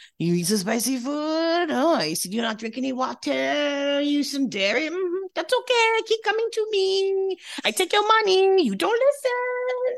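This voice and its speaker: The speaker uses a put-on character voice with a French accent. Pitch swings very widely at a moderate pace. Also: woman, extremely high pitch for a woman. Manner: scolding, cute.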